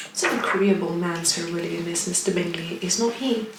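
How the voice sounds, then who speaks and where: This woman keeps her intonation fairly even at a moderate pace while noticeable background noise plays. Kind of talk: soft-spoken audiobook-style reading of a classic novel. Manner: soft-spoken, relaxed.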